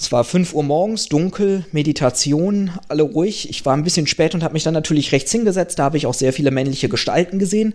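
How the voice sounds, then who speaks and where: A high-pitched man at a fairly quick pace over noticeable background noise. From Germany. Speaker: podcaster and doctoral researcher. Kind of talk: casual chat.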